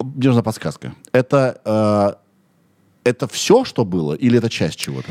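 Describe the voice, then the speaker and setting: Speaking at a fairly slow pace, a man leaves long, frequent pauses. His medium-pitched voice carries lively intonation. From Russia, Kirov. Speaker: podcast host. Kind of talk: casual chat. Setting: studio.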